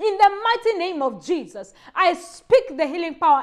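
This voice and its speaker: Against a quiet background, a woman speaks in a passionate tone at a moderate pace. Her extremely high voice moves through very wide pitch swings. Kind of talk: fervent healing prayer, commanding demons to leave. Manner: forceful, emphatic, commanding; urgent, passionate, rising intensity. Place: home room. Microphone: lapel.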